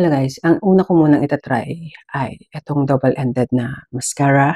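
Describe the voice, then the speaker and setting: In a dry, close sound with no echo, a woman talks at a moderate pace with a dark, mellow tone and a very deep, low pitch. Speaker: beauty vlogger. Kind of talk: product review. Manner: animated.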